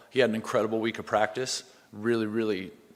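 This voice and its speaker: The pace is fairly quick. The intonation stays flat and monotone. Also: man. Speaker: head football coach. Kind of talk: press conference.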